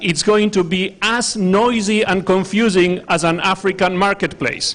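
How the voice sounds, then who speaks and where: Speaking very slowly, a man with an Argentine accent uses a high voice. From Argentina. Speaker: humanitarian researcher. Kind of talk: workshop presentation.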